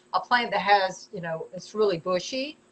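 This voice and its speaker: A woman speaks in a Southern US accent. Her pitch varies in an ordinary way. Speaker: potter selling her work. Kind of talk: live stream product showcase. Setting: live video stream. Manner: stumbling, repeats words; chatty, casual.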